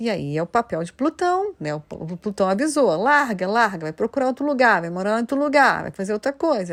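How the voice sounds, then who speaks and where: A woman with a Rio de Janeiro accent speaks in an animated tone with very wide pitch swings, the sound dry and close with no echo in a very clean recording with a silent background. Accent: carioca accent, noticeable. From Rio de Janeiro, Brazil. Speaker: astrologer. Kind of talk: solo video talk.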